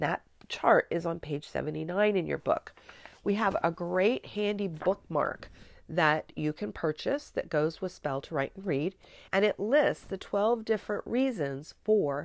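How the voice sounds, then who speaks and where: Dry and close with no echo, a woman's voice sits at a medium pitch, moving at a fairly slow pace with lively intonation. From US Midwest. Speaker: spelling teacher trainer. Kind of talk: tutorial.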